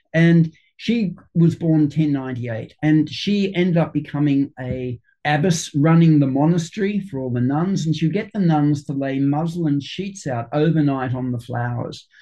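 Speaking at a fairly slow pace, a man with an Australian accent has a fairly high pitch. His voice is somewhat breathy with a dark, mellow tone. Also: ordinary pitch variation. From Sydney, Australia. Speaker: flower essence maker and homeopath. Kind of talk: interview. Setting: video call.

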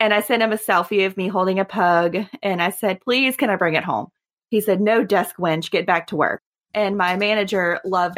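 A woman with a Southern US accent, medium pitch and fairly even intonation, on a very clean recording with a silent background. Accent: southern drawl. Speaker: podcast guest, veterinary client service representative.

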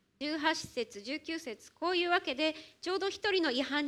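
A woman speaks with lively intonation. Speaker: church interpreter. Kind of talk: sermon interpretation. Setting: church.

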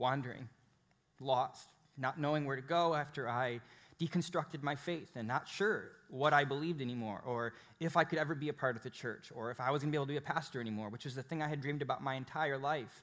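A man's unremarkable speaking voice, fairly high-pitched with ordinary pitch variation and an American accent. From Chicago, US Midwest. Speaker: pastor. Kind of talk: sermon. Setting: church with live congregation.

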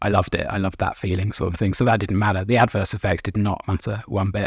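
Speaking at a very fast pace, a man with a fairly low, somewhat breathy voice keeps his intonation fairly even on a very clean recording with a silent background. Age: 30s. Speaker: recovering addict. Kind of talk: interview.

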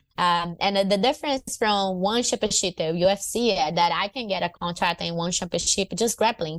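On a very clean recording with a silent background, a woman speaks with a Portuguese accent. Her medium pitch shows ordinary pitch variation at a moderate pace. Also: dry, close sound with no echo. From northern Brazil, Fortaleza. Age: 30s. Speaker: MMA fighter and jiu-jitsu champion. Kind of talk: casual interview.

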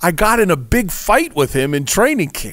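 Putting on a character voice, a man mumbles at a moderate pace in a high pitch. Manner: mumbling through gritted teeth.

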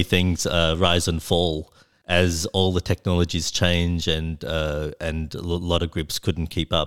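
On a very clean recording with a silent background and a dry, close sound with no echo, a man with an Australian accent speaks at a fairly slow pace in a very deep, low pitch. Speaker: software engineer and record label founder. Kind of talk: interview. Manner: halting.

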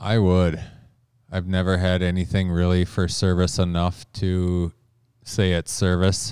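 In an Upper Midwest accent, a man speaks at a fairly slow pace with a very deep, low pitch and fairly even intonation. His loudness is very even, and the recording is very clean with a silent background. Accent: Upper Midwest (Minnesota). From Minnesota. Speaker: backcountry bowhunter. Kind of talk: interview. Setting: studio.

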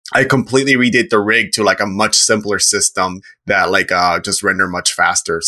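A man's medium-pitched voice, a normal speaking voice, with ordinary pitch variation and very even loudness. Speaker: podcast guest, animator. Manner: casual, rambling.

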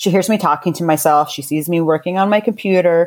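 Speaking with an American accent, a woman with an ordinary speaking voice uses a fairly low pitch and lively intonation, in a very clean recording with a silent background. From US, military family (Army brat). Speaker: beauty company founder. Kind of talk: casual interview.

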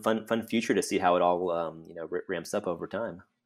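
A man talks with an American accent in a plain, everyday voice, his pitch fairly low. His pitch varies in an ordinary way, and his pace is fairly quick. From central Texas. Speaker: telecom research director. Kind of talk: casual interview conversation.

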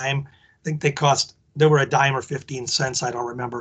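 With an American accent, a man uses a normal speaking voice and ordinary pitch variation. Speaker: wrestling historian. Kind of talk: interview.

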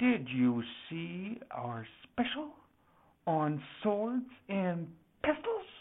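Using a put-on character voice, a female-sounding speaker goes at a very slow pace, sounding strained, at medium pitch with very wide pitch swings. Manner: low, restrained.

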